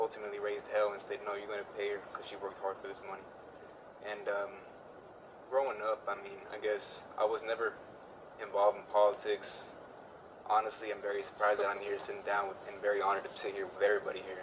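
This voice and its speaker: Speaking very fast with an American accent, a man holds a monotone, flat intonation at a fairly low pitch, with long, frequent pauses, big swings in loudness and noticeable background noise. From Houston, Texas. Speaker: community outreach organizer. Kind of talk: interview. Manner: halting, many fillers.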